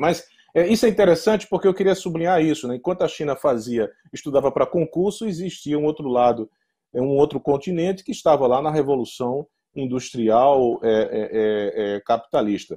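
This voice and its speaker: A man's fairly high voice with a dark, mellow tone, lively intonation and a moderate pace against a quiet background. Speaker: law professor; law professor, speaker. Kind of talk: lecture. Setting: conference with interpreter. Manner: halting, many fillers. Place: home room. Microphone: earbuds.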